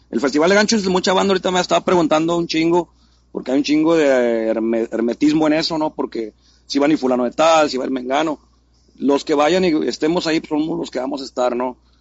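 A man at a fairly high pitch, very fast, with ordinary pitch variation. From Mexico City. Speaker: graffiti artist. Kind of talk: casual interview.

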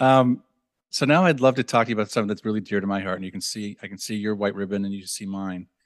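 With an American accent, a man talks very fast with ordinary pitch variation and big swings in loudness over a quiet background. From Minnesota. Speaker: podcast host. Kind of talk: interview.

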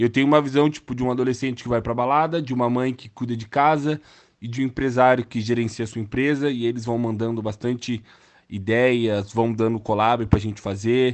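This man has an unremarkable speaking voice at medium pitch. He talks at a fairly quick pace with fairly even intonation. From Brazil, Mogi das Cruzes (São Paulo state). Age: 20s. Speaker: digital influencer. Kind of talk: casual interview.

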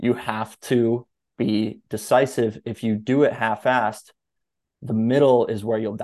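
A man's ordinary speaking voice, medium-pitched, fairly slow, with fairly even intonation against a quiet background. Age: 20s. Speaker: writer and life coach. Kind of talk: casual interview.

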